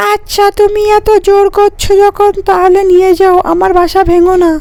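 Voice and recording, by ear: A cartoonish character voice with an extremely high pitch delivers its lines at a fairly slow pace.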